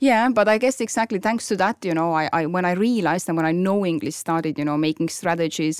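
A woman with a strong Estonian accent speaks at a fairly quick pace with ordinary pitch variation, in a dry, close sound with no echo on a very clean recording with a silent background. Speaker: podcast host and property investor. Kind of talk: casual chat. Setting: studio. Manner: hesitant, many fillers.

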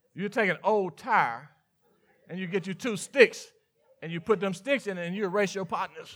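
In a very clean recording with a silent background, a man with a Mississippi accent and a high pitch talks at a moderate pace, with ordinary pitch variation and long, frequent pauses. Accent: Mississippi Southern. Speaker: pastor. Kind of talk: sermon. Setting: church.

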